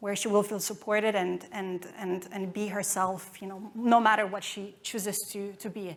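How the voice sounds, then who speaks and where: A woman talks at a moderate pace with a non-native accent. Her pitch is medium and her intonation is monotone and flat. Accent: foreign. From Romania. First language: Romanian. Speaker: marketing executive. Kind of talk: conference talk. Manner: halting.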